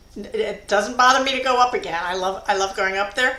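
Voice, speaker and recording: Noticeable background noise behind a woman at a medium pitch, her pitch varying in an ordinary way at a moderate pace. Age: 70s. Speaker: geocacher. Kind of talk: casual chat.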